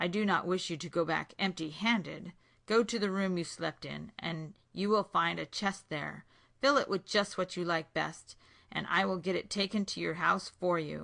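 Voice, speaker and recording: Putting on a growling character voice, a woman speaks at medium pitch and a moderate pace. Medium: read story. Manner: stern, blunt.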